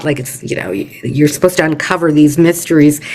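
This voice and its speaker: A woman's voice over noticeable background noise. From Canada. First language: Yiddish. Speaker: poet. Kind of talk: interview. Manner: halting, many fillers.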